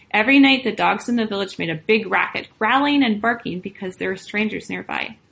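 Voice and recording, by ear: Natural-voiced reading aloud.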